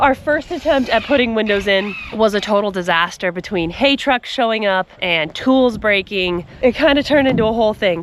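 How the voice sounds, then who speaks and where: A woman speaks at a moderate pace with a fairly high pitch and lively intonation. Her tone is upbeat, with noticeable background noise behind her. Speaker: homesteading video creator. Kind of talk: vlog narration. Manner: casual and upbeat.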